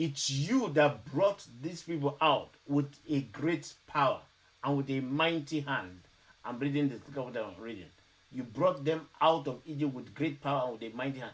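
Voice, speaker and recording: A normal speaking voice from a man, moderate in pace and fairly high in pitch, with ordinary pitch variation. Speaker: Bible teacher. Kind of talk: Bible study teaching.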